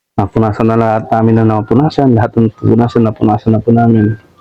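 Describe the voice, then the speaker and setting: Soft-spoken and at medium pitch, a man talks at a fairly quick pace. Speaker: catering worker. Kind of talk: casual interview. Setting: office.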